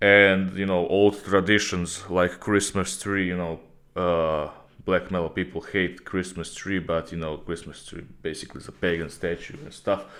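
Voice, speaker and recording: A man talks at a moderate pace with a very deep, low pitch and fairly even intonation. His loudness swings widely. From Croatia, Rijeka. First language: Croatian. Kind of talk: casual Q&A video talk. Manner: casual, with filler hesitations.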